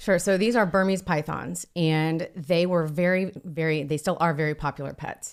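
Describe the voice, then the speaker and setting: A woman with an American accent speaks in a plain, everyday voice with fairly even intonation, recorded very cleanly against a silent background. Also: fairly low pitch for a woman, moderate pace. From US Midwest, Ohio. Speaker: professional python hunter. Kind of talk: podcast interview.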